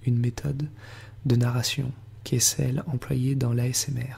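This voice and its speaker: Here a man talks at a moderate pace in a medium pitch. His intonation is monotone and flat. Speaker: tarot reader. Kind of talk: ASMR guided relaxation narration. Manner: whispered.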